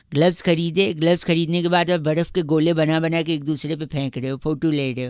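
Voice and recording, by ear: Over a very clean recording with a silent background, a man talks at a fairly quick pace in a fairly high voice with little pitch movement and a clear, smooth, slightly mellow tone.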